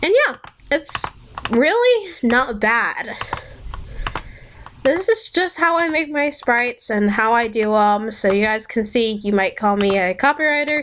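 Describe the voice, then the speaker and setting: A woman with a high voice and lively intonation talks at a fairly slow pace with very even loudness and long, frequent pauses, against noticeable background noise. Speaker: sprite editing tutorial youtuber. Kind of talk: tutorial. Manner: casual, with fillers.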